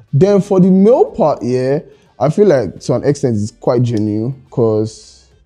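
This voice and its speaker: Faint music sits in the background. Over it, a male voice is heard. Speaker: interview guest. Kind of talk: interview answer. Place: studio.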